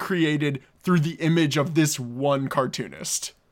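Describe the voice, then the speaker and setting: With an ordinary speaking voice, a man talks at a fairly slow pace and a fairly high pitch. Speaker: podcast host. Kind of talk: casual comedy podcast chat.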